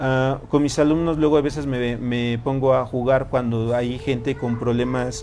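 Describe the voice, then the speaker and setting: Noticeable background noise and audible room echo surround the speaker. He is a man of medium pitch with ordinary pitch variation. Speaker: tarot and personal growth teacher. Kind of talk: lecture to a live group. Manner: fast.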